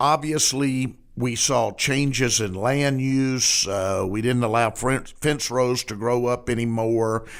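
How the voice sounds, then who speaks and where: Speaking very slowly with hardly any pauses, a man with a Southern US accent keeps a fairly even intonation. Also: medium pitch for a man. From Arkansas. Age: 60s. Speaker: podcast host and newspaper editor. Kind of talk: casual interview chat.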